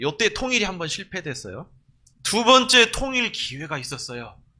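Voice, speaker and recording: Recorded very cleanly against a silent background, a man with a high-pitched, bright, sharp tone projects a raised voice at a moderate pace, with very wide pitch swings and big swings in loudness. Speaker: pastor. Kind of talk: sermon. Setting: church.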